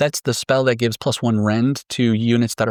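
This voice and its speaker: In a very clean recording with a silent background and a dry, close sound with no echo, a normal speaking voice moves at a fairly quick pace. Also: man. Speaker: tabletop wargame strategy content creator. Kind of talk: scripted tactics explainer.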